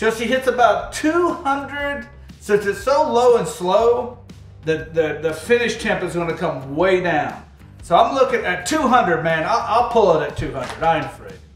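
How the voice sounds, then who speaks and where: A man talks at a fairly slow pace with audible room echo and faint music in the background. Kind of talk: tutorial. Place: kitchen. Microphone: camera far.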